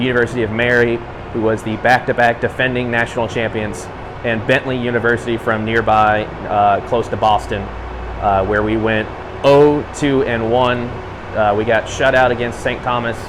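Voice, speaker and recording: Over noticeable background noise, a man talks in a medium pitch with monotone, flat intonation. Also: moderate pace. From Kentucky (Danville). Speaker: college hockey play-by-play announcer. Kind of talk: interview.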